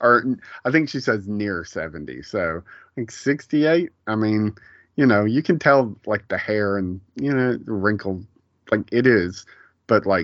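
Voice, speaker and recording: A man's fairly low, normal speaking voice, lively in intonation and fairly slow in pace. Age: 40s. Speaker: TV show recap podcaster. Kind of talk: casual chat.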